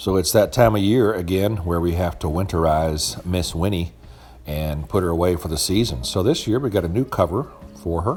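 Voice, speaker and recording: Music plays behind a man with a very deep, low voice. He speaks at a moderate pace with ordinary pitch variation. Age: 50s. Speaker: YouTuber doing RV maintenance. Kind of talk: narrated how-to video. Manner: casual, with fillers.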